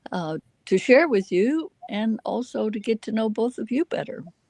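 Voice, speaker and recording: In an American accent, a woman speaks at a fairly slow pace with a fairly high pitch and a dark, mellow tone. Her intonation is lively, and the sound is dry and close with no echo. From US South, Alabama. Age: 80s+. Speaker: retired chiropractor and teacher. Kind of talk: casual interview chat.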